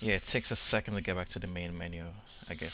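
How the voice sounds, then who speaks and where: A man talks at a very fast pace in a dry sound with no echo, with noticeable background noise. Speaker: phone owner demonstrating software. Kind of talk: tutorial. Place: home room. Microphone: webcam.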